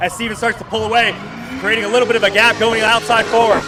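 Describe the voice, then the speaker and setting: A man uses a raised, projected voice with a high pitch, and music plays in the background. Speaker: drifting commentator. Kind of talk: live commentary. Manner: animated; fast.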